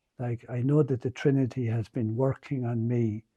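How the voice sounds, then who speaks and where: Against a quiet background, a man with an Irish accent speaks at a medium pitch in a dark, mellow, somewhat breathy tone, with a dry, close sound and no echo. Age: 70s. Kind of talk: homily. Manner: halting.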